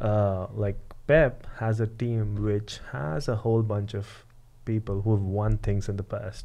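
A man with an American accent speaks at a fairly slow pace, his pitch fairly low. His tone is dark and mellow, with ordinary pitch variation. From San Diego, California; California. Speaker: podcast co-host. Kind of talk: casual chat. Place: studio. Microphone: studio mic.

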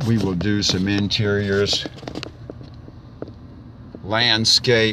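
Noticeable background noise sits behind a man speaking at a very slow pace and a fairly low pitch, in a dry sound with no echo. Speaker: auctioneer. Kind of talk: real estate property tour narration. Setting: outdoors, narrating while driving. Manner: slow, hesitant, with frequent filler words. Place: car. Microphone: phone near.

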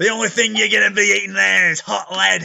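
A man puts on a character voice with an Australian accent, pitched high. He talks at a fairly quick pace.

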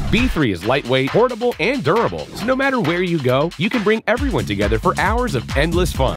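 The speech runs at a very fast pace with hardly any pauses while music plays in the background. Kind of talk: TV commercial read. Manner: upbeat.

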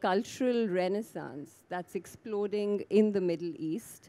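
This woman's tone is dark and mellow. She talks at a very slow pace with ordinary pitch variation. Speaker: panel moderator. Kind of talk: moderator introduction. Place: garden. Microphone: handheld.

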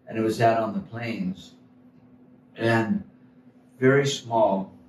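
A man with an American accent speaks at a fairly slow pace with lively intonation. Audible room echo and light background noise surround him. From Florida (St. Petersburg); Florida. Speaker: painter and musician. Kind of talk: casual chat. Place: hall.

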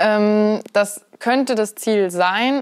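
Against a quiet background, a woman speaks. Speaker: interview guest. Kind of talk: interview answer. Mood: friendly, relaxed. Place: home room. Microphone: lapel.

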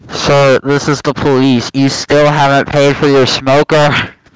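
In a put-on character voice, a man speaks at a fairly slow pace with a fairly high pitch and monotone, flat intonation.

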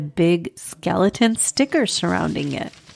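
A woman with a medium-pitched, warm voice speaks at a fairly slow pace on a very clean recording with a silent background. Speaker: children's podcast host and storyteller. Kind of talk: scripted story narration for kids; podcast intro. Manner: warm storytelling voice.

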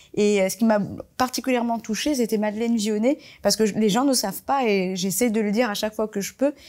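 The speaker talks at a very fast pace with ordinary pitch variation. The background is quiet. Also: woman, fairly high pitch for a woman. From Marseille, France (born in Comoros); France. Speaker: fashion designer; interviewee. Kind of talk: panel talk. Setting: library event with audience.

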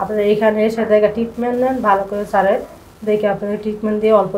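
The speaker is a woman. Light background noise sits behind her. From Chittagong, Bangladesh; Bangladesh. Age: 20s. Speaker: patient, housewife. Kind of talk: patient testimony. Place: office. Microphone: camera far.

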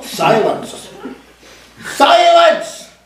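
A shrill, put-on character voice is raised and projected, with a slight echo. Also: man, extremely high pitch for a man. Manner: commanding, screeching.

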